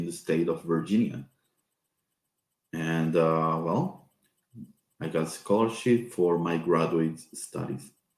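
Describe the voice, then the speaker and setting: A man with a very deep, low pitch and a Spanish accent, at a very slow pace. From Peru. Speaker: professor. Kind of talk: informational talk. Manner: halting.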